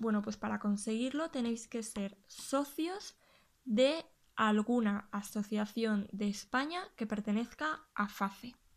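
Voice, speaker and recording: This woman speaks very slowly at a fairly high pitch, with ordinary pitch variation. The recording is very clean, with a silent background. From Spain, Huesca (Aragon). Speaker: YouTuber and gluten-free food blogger. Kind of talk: casual video tutorial, show-and-tell. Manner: hesitant, with frequent repetitions.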